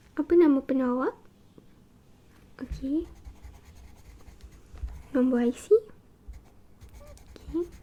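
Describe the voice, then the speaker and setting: A woman whispers, soft-spoken, at a very slow pace. Long, frequent pauses break up her speech. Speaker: ASMR creator. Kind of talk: ASMR role-play medical examination. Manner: soft-spoken, whispering.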